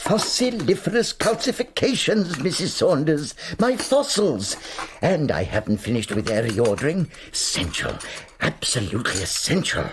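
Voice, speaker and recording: A man puts on a character voice at a fairly high pitch. His pitch swings very widely over clear background noise. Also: moderate pace. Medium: audio drama. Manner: fussy, excitable, stammering.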